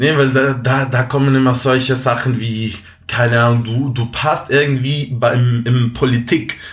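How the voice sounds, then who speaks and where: A man talks fairly slowly, his medium-pitched voice held to a monotone, flat intonation. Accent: Spanish. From Venezuela. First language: Spanish (speaking German). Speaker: apprentice, former student. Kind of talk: interview. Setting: remote call. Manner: halting.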